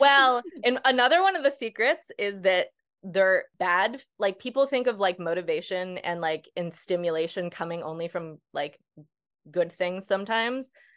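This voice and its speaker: A woman with an unremarkable speaking voice and an American accent talks at a medium pitch and a moderate pace with lively intonation. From US Northeast. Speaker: ADHD coach. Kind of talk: casual interview.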